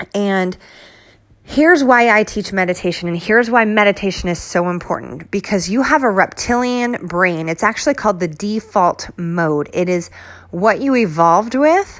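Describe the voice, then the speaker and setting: The delivery is animated, with lively intonation. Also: woman, medium pitch for a woman, moderate pace. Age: 40s. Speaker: wellness and fitness podcaster. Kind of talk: solo motivational talk.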